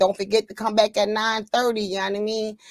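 An animated voice at a fairly quick pace, with a dry, close sound and no echo. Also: woman. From Pennsylvania. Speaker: cannabis livestream host. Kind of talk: casual chat.

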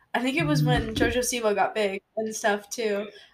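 A woman's ordinary speaking voice, fairly high-pitched, with lively intonation at a moderate pace. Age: 20s. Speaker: podcast co-host, college student. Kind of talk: casual chat. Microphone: too far from the mic.

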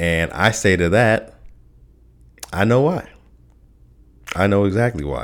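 A man's fairly low voice at a fairly slow pace, with ordinary pitch variation and long, frequent pauses, on a very clean recording with a silent background. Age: 30s. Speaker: podcast host. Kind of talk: casual solo podcast monologue. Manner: halting, many fillers and repetitions.

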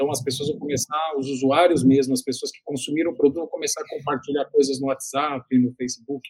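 A man's fairly high voice at a fairly quick pace, hardly any pauses, dry and close with no echo. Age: 50s. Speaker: digital communication consultant. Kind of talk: interview. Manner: hesitant, frequent word repetitions.

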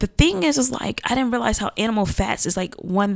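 A woman with an unremarkable speaking voice talks at a fairly quick pace. Her intonation is lively. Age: 20s. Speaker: small business owner. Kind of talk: casual chat.

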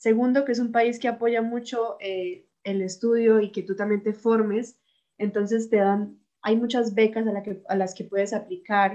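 The tone is dark and mellow, and the pace is fairly slow. Intonation stays fairly even. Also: woman, fairly high pitch for a woman. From Colombia, Bucaramanga. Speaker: university student. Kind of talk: casual chat.

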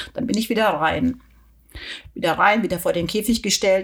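A woman with an ordinary speaking voice talks at a fairly quick pace in a medium pitch with lively intonation. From southern Germany, Weingarten. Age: 50s. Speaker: pilot and anxiety coach. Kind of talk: casual interview.

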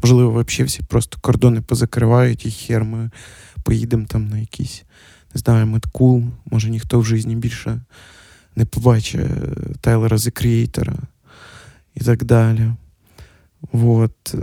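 This man's medium-pitched voice moves at a fairly slow pace with fairly even intonation and long, frequent pauses. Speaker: podcast host. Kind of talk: solo casual monologue. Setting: at home.

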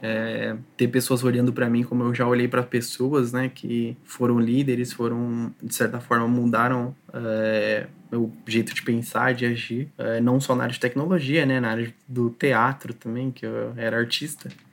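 At a moderate pace, the speaker keeps a monotone, flat intonation. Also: man, medium pitch for a man, hardly any pauses. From Brazil, São Paulo area (Taboão da Serra). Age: 20s. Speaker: software quality assurance tester. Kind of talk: casual interview chat.

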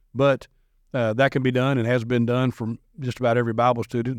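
With an American accent, a man of medium pitch speaks very fast in a dry, close sound with no echo and a quiet background. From US South, Nashville area, Tennessee. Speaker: minister. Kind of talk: casual chat.

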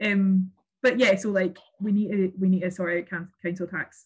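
The speaker has a Glasgow accent and sounds somewhat breathy. Intonation stays fairly even. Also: woman. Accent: Scottish (Glasgow). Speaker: local politician. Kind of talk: interview.

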